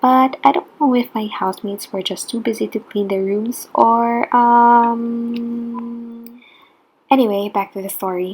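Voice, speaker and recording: Somewhat breathy, a woman speaks with a non-native accent. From Philippines. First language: not English. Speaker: international student. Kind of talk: personal story vlog.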